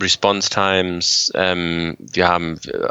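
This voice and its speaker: A man's voice, very deep and low in pitch. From Germany. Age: 40s. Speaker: paramedic. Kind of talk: interview.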